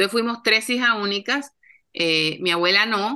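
A woman with a bright, sharp tone speaks at a moderate pace with ordinary pitch variation against a quiet background. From Colombia. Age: 50s. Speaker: TV producer and author. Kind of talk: interview.

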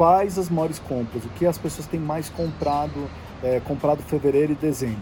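A man at a fairly quick pace, fairly high in pitch with ordinary pitch variation, over noticeable background noise. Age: 40s. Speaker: podcast host, health industry commentator. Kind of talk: solo news briefing. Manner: casual, conversational.

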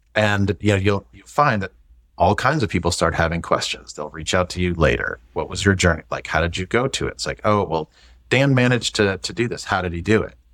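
An American-accented man with a fairly low pitch talks at a fairly quick pace, his loudness swinging widely, on a very clean recording with a silent background. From US Midwest, St. Louis. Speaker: IT executive. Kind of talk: casual chat.

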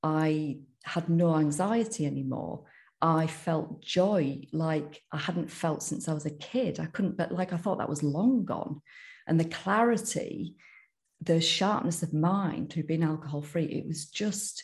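Somewhat breathy, a woman talks in a fairly low pitch. Her pace is fairly slow. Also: ordinary pitch variation. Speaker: sober coach. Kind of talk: interview testimony.

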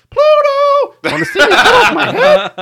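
Extremely high pitch in a put-on character voice. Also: moderate pace. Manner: excited.

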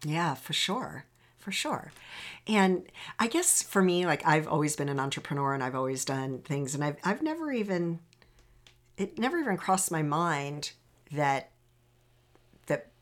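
On a very clean recording with a silent background, a woman speaks at a fairly low pitch. Her intonation is lively, her pace moderate, with long, frequent pauses. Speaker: podcast host and happiness coach. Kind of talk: podcast intro and interview.

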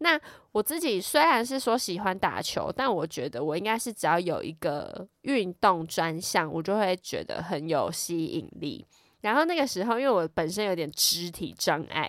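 A woman's animated, medium-pitched voice in a Taiwanese accent, with very wide pitch swings, on a very clean recording with a silent background. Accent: Taiwanese Mandarin. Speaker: podcast host. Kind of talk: casual storytelling monologue. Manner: animated, laughs often.

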